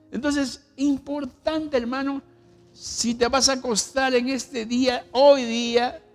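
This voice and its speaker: A man's extremely high voice, very slow in pace and monotone in intonation. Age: 70s. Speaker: pastor. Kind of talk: sermon.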